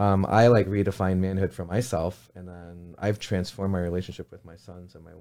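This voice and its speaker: A dark, mellow tone at a fairly quick pace, with fairly even intonation and big swings in loudness, on a very clean recording with a silent background. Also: man. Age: 40s. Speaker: author and life coach. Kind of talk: casual interview chat.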